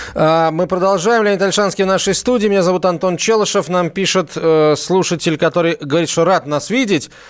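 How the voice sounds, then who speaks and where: Hardly pausing, a man talks at a fairly quick pace with very even loudness. His pitch is high, with ordinary variation. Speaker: radio host. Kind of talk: live radio talk. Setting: studio. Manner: animated.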